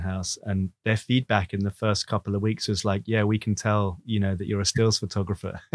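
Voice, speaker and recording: The recording is very clean, dry and close, with a silent background and no echo. A man speaks at a fairly quick pace in a fairly low voice. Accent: English. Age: 40s. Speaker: nature photographer and podcast host. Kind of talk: casual interview.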